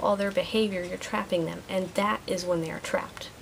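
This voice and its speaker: With noticeable background noise behind her, a woman speaks in fairly even intonation. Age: 30s. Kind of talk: vlog monologue. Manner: stumbles on words sometimes; youthful, teen-like way of talking.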